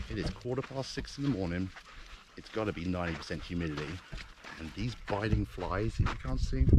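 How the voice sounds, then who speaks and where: Over noticeable background noise, a man with a very deep, low pitch speaks with very wide pitch swings. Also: fairly quick pace. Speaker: special forces veteran turned wildlife conservationist vlogger. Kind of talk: outdoor vlog. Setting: outdoors in the bush. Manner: loud and clear.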